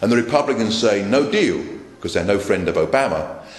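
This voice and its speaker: In a London accent, a man speaks amid audible room echo and noticeable background noise. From London, England. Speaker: political speaker. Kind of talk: political speech. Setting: meeting with live audience. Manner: repetitive, emphatic.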